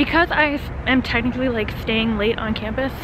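A woman speaks in a high voice at a moderate pace with fairly even intonation, the sound dry with no echo despite noticeable background noise. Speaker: college student vlogger. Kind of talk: casual vlog chat. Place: street. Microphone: phone near.

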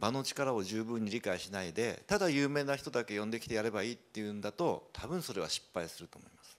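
A man speaks with lively intonation. His loudness swings widely. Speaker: rural entrepreneur; panelist. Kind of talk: presentation. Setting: stage with audience. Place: hall. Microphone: handheld.

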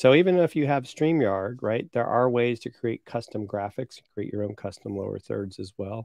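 A man talks at a moderate pace over a quiet background, in a dry sound with no echo. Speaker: co-host of a marketing show. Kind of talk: casual live-show chat. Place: home room. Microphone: studio mic.

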